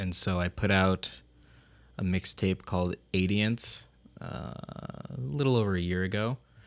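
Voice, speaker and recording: A man with an American accent, very deep and low in pitch, at a fairly slow pace with ordinary pitch variation, in a very clean recording over a silent background. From US Northeast, Rochester, New York. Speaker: rapper. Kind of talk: interview.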